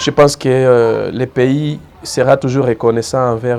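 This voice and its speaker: Over noticeable background noise, a man talks fairly slowly with fairly even intonation. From eastern DR Congo, South Kivu. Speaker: community figure interviewed. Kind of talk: interview. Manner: hesitant, many fillers and repetitions.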